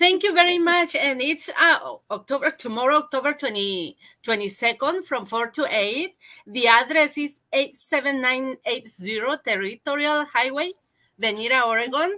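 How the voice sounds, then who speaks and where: A woman with a Spanish accent uses a raised, projected voice, high pitched with a bright, sharp tone and lively intonation, at a fairly slow pace. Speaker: arts council representative. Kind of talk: interview. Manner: halting.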